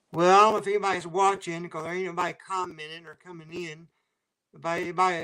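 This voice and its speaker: In an American accent, a man talks fairly quickly with a high pitch and a bright, sharp tone. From US South, Waycross, Georgia area. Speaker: train spotting YouTuber. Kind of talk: casual livestream chat. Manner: halting.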